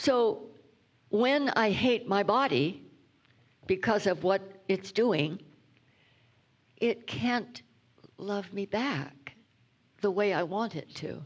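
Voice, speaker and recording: Speaking at a very slow pace with long, frequent pauses, a woman uses lively intonation at a medium pitch. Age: 90s. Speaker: reverend, guest speaker. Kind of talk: sermon.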